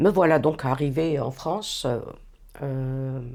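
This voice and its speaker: This woman's voice has a dark, mellow tone. The recording is very clean, and the background is silent. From Algeria, Algiers. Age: 60s. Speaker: retired youth employment worker. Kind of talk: interview, personal life story. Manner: hesitant, many fillers and restarts.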